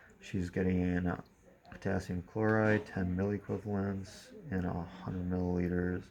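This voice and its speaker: Very deep and low, a man's voice holds a dark, mellow tone and monotone, flat intonation. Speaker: nursing student. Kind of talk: skills demonstration with role-play. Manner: loud.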